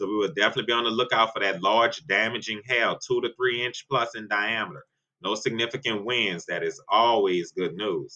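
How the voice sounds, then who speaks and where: In an ordinary speaking voice, a man talks fairly quickly at a medium pitch with ordinary pitch variation. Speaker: weather forecaster (online channel). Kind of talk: weather forecast discussion. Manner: casual, conversational.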